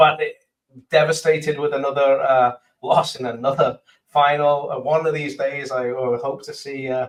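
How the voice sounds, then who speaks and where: A man with an English accent speaks at a moderate pace in a fairly high pitch, his loudness swinging widely. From England. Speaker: sports podcast co-host. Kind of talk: casual chat. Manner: hesitant, many fillers.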